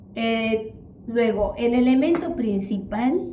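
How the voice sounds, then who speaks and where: The intonation is lively. Music plays in the background, and the room echo is audible. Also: woman. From Peru, Lima. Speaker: teacher and accountant, home cook. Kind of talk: cooking tutorial.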